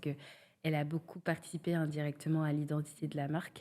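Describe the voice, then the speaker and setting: Her voice is very deep and low, with a dark, mellow tone. The woman keeps a monotone, flat intonation at a moderate pace. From Senegal. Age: 30s. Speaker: cosmetics brand founder. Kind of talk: podcast interview. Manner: hesitant, many fillers.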